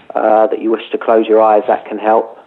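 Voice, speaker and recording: A man speaks at a moderate pace and a medium pitch. Noticeable background noise runs behind him. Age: 30s. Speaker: meditation teacher and author. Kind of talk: guided meditation, calm spoken instructions inviting listeners to follow the breath; interview on radio talk show.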